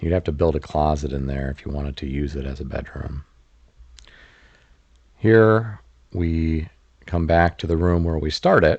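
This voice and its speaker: The speaker has a relaxed, calm tone, a moderate pace, ordinary pitch variation and long, frequent pauses. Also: man, very deep, low pitch for a man. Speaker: real estate commentator. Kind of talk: home tour voice-over commentary.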